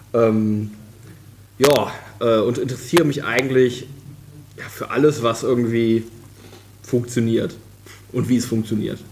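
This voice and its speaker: Over noticeable background noise, a man talks at medium pitch with fairly even intonation. His pace is fairly slow, with long, frequent pauses. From western Germany, Krefeld. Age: 20s. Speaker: software developer. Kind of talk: casual chat. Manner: halting, many fillers.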